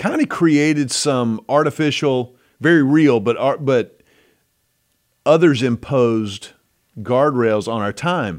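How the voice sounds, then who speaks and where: On a very clean recording with a silent background, a man with an American accent talks at medium pitch and a very slow pace, using ordinary pitch variation and long, frequent pauses. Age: 50s. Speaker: podcast host. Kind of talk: casual chat.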